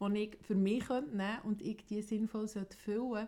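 A woman's fairly high voice, dark and mellow in tone, flat and monotone in intonation, in a Swiss accent. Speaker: podcast co-host. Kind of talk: casual chat.

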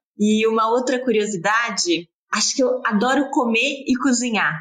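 A woman speaks at a moderate pace in a fairly high voice, with ordinary pitch variation. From Brazil, São Paulo. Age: 30s. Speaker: fashion brand co-founder. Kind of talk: interview.

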